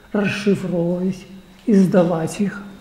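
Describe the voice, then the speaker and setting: Over noticeable background noise, a man with a high pitch speaks at a fairly slow pace in a monotone, flat intonation. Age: 80s+. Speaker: archaeologist. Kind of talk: public talk, reminiscing.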